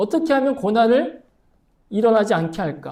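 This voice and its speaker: In a room with audible echo, a man speaks in an animated tone at a moderate pace. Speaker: pastor. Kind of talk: sermon.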